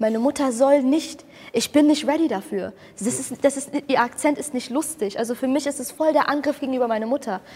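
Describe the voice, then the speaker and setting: Speaking at a fairly quick pace, a woman uses a high pitch with ordinary pitch variation. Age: 20s. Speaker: comedian. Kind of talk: casual chat. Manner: loud.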